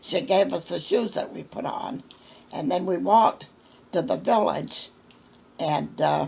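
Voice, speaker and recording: In a Maine accent, a woman speaks at a fairly slow pace. Her pitch sits at a medium level. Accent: rural Maine New England. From central Maine, US. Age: 90s. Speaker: oral history interviewee. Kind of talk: oral history interview. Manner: halting.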